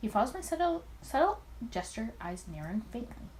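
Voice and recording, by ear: A woman talks at a fairly quick pace. Her pitch swings widely.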